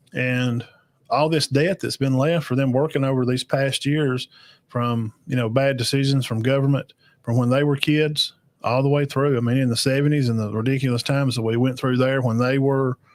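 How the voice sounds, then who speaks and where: A man speaks with an Alabama accent at a moderate pace. His intonation is monotone and flat. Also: medium pitch for a man, very even loudness, very clean recording, silent background. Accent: Southern US (Alabama). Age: 40s. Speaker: podcast host reacting to videos. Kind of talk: live reaction show, casual chat with chat comments. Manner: casual, halting with many fillers.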